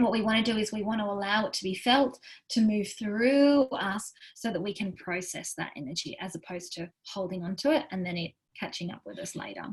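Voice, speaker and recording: Speaking at a fairly quick pace, the woman sounds somewhat breathy, with lively intonation and big swings in loudness. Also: medium pitch for a woman. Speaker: wellness coach. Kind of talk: workshop talk. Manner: fast; animated.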